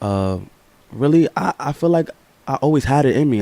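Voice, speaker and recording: A dark, mellow tone carries the voice. It moves at a moderate pace. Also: man. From New York, Harlem. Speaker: rapper. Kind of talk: interview.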